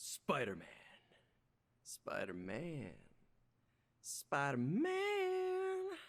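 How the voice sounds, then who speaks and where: A put-on character voice moves very slowly, with long, frequent pauses. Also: woman. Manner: scary.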